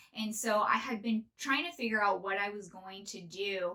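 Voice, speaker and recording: Noticeable background noise accompanies a woman with a General American accent. She speaks at medium pitch and a moderate pace with fairly even intonation. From northern California. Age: 30s. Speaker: podcast host. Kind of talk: casual monologue.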